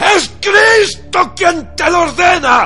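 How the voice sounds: A man in a put-on character voice, shouting at an extremely high pitch with a bright, sharp tone, lively intonation and a slow pace, faint music in the background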